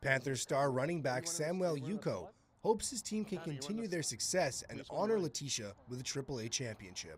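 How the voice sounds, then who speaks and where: Speaking at a moderate pace with hardly any pauses, a man uses a fairly high pitch, very wide pitch swings and a somewhat breathy voice. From Canada. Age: 20s. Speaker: broadcast journalism student. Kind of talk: TV news reporter voice-over.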